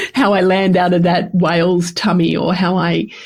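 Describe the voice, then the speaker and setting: This voice has an Australian accent, a somewhat breathy quality and a fairly slow pace. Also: woman. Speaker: podcast host. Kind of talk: personal podcast monologue. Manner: casual.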